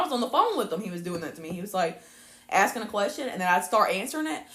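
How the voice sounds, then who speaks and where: A woman of medium pitch talks very fast, her pitch swinging very widely and her loudness rising and falling sharply. Noticeable background noise runs under her voice. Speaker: podcast co-host. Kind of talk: casual chat.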